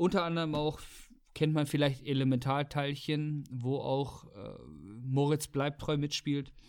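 A man talks at a fairly slow pace in a fairly high pitch. His intonation is flat and monotone, and the recording is very clean with a silent background. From Weserbergland, Lower Saxony. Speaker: podcast host. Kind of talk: casual chat.

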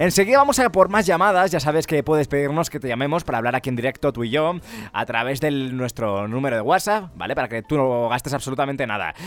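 A man rushes along at a very fast pace with hardly any pauses, his fairly high voice full of lively intonation. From Spain (Ávila). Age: 20s. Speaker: radio host. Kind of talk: call-in radio show. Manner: animated.

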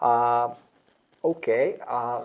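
A man talks at a medium pitch. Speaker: podcast host, business team leader. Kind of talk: interview. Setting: studio.

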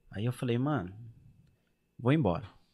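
In a very clean recording with a silent background, a man talks very fast at a medium pitch with lively intonation. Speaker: YouTuber on emigrating to Europe. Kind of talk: casual chat.

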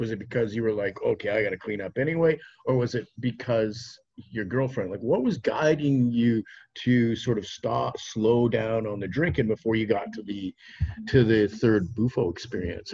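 At a fairly quick pace, a man speaks in a medium-pitched, somewhat breathy voice. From Saskatchewan, Canada. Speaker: podcast host. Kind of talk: casual chat. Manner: animated.

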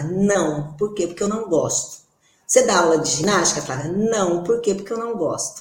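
At a moderate pace, a woman with a medium pitch speaks amid audible room echo. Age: 40s. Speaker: podcast co-host, physical education professional. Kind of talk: casual chat.

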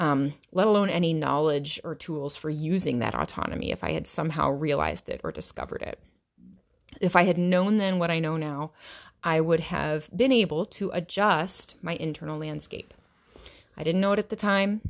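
A woman with an American accent has a normal speaking voice, fairly low in pitch with ordinary pitch variation. She talks at a moderate pace in a very clean recording with a silent background. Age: 30s. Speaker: yoga teacher and podcast host. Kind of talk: solo podcast monologue.

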